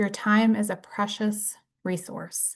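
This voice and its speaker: A woman's somewhat breathy voice comes through over a quiet background. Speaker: brain injury case manager and presenter. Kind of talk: lecture.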